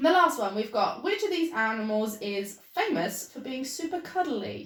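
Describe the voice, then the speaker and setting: Her voice is high, and she has a British accent. The woman moves at a moderate pace with very wide pitch swings. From Britain. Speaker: small business owner and vlogger. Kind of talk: casual chat. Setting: video call. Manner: whispering.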